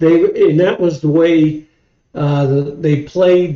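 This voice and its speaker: A man with a Midwestern US accent speaks at a fairly slow pace. His tone is dark and mellow, and his intonation stays fairly even. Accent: US Midwest. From Ohio. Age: 60s. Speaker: football fan, host's father. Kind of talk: casual chat. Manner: halting.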